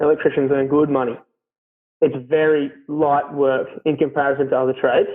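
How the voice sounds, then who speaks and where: The pace is moderate. The speaker has an Australian accent. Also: man. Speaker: carpenter. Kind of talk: casual interview chat. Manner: loud; hesitant, many fillers.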